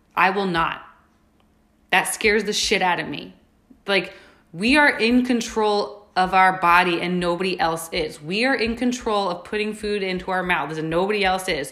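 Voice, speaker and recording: A woman with an American accent, medium pitch, and a bright, sharp tone, at a moderate pace with ordinary pitch variation and audible room echo. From New York. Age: 20s. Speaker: fitness coach and podcast host. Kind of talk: casual motivational monologue. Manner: animated.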